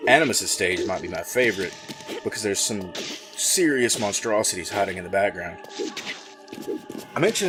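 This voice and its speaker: A man speaks at a moderate speed while music plays behind him. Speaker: gaming video host. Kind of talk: game commentary over pre-recorded gameplay. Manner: enthusiastic.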